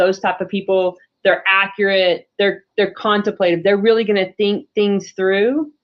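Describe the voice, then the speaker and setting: Fairly slow and medium-pitched, a woman talks in a plain, everyday voice. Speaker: business coach. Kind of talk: webinar presentation. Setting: video call.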